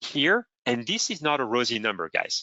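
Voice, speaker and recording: Lively male intonation at a medium pitch and moderate pace. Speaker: simulation engineer presenter. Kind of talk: webinar presentation. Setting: online meeting. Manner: halting.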